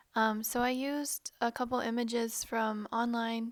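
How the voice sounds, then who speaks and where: In a very clean recording with a silent background, a woman speaks at a fairly high pitch in a monotone, flat intonation. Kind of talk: casual monologue, dream account. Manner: hesitant, many ums.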